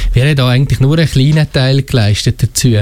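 A man with a slight Valais accent at a fairly quick pace, over noticeable background noise. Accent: slight Valais Swiss German. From Switzerland, Valais. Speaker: school administrator. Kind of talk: radio interview. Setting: studio.

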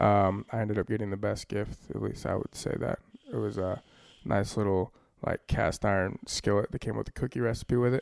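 A man mumbling at a fairly quick pace, dry and close with no echo. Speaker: podcast co-host. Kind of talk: casual chat. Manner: mumbles.

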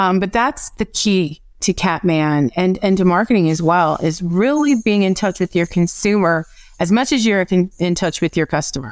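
A woman in a plain, everyday voice speaks at a medium pitch and a moderate pace with lively intonation and very even loudness, on a very clean recording with a silent background. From US Midwest (Evanston, Illinois). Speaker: marketing and analytics manager. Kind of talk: interview.

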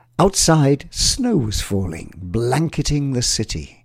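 In a very clean recording with a silent background, the voice has a warm tone and moves at a very slow pace. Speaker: narrator of innovation story. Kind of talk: scripted fairy-tale narration in rhyming verse, Christmas storytelling. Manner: lilting, sing-song rhythm with rhyme, warm storyteller's pacing.

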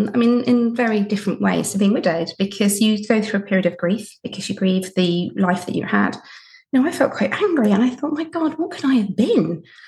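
A woman with a plain, everyday voice talks at a fairly quick pace, her pitch fairly high and her intonation lively. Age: 40s. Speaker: podcast host and widowed mother of four, guest. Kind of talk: recorded sign-off message; casual interview chat. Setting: recording from her bedroom; remote recording with headphones.

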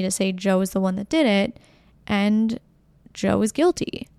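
A woman's upbeat voice at medium pitch, with a dark, mellow tone and a dry, close sound with no echo. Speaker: podcast host. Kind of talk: true-crime narration, podcast monologue. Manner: measured, clear storytelling pace, explanatory; conversational, upbeat and personable.

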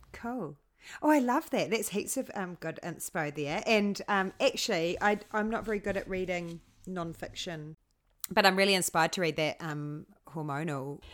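Here a woman speaks in a New Zealand accent at a medium pitch. Her intonation is lively and her pace moderate. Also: very clean recording, silent background. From New Zealand, Hamilton. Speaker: podcast host. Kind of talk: casual interview chat.

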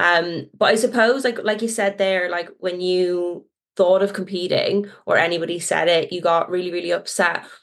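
A woman's medium-pitched, unremarkable speaking voice, fairly even in intonation and moderate in pace. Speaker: podcast co-host. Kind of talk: casual interview.

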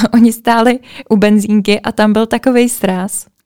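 This woman has an ordinary speaking voice, fairly high in pitch, with fairly even intonation at a moderate pace. The sound is dry and close, without echo. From Czech Republic, Plzeň. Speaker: podcast host. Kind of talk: casual chat.

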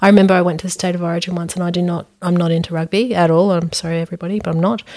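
A woman with an Australian accent and fairly even intonation. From Brisbane, Australia. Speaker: psychologist and podcast host. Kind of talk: casual interview chat.

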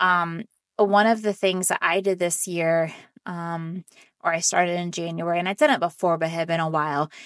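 A woman with an unremarkable speaking voice and fairly low pitch talks at a moderate pace, recorded dry and close with no echo against a quiet background. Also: fairly even intonation. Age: 40s. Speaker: real estate podcast host. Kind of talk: solo educational talk. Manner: casual, with frequent fillers.

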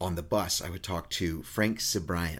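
In a very clean recording with a silent background, a man with a very deep, low pitch and a somewhat breathy voice speaks at a moderate pace with ordinary pitch variation. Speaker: podcast co-host. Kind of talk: casual chat.

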